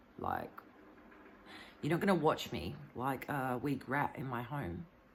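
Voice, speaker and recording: Showing vocal fry, a woman with a very deep, low-pitched voice speaks fairly slowly with lively intonation. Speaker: vlogger. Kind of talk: personal video monologue. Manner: halting, stuttering.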